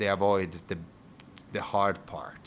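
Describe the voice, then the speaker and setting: A man speaks with an Italian accent in a very deep, low voice. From Italy (Rome). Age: 30s. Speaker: bar owner and bartender. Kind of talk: interview podcast conversation. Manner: halting.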